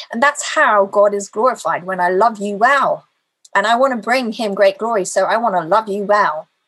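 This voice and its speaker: A woman talks at a moderate pace in a normal speaking voice. Her pitch is medium, with ordinary pitch variation. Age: 40s. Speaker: lay preacher. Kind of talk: sermon.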